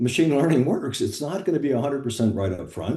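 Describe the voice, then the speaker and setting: At a very fast pace, a man with a fairly high pitch speaks with lively intonation in a dark, mellow, somewhat breathy tone. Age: 70s. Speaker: health tech startup founder. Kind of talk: business meeting discussion.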